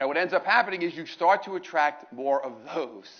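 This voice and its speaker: A man speaks in an animated tone with a high pitch. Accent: New York. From New York, Brooklyn. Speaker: motivational speaker. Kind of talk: motivational talk. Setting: stage with audience. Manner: loud.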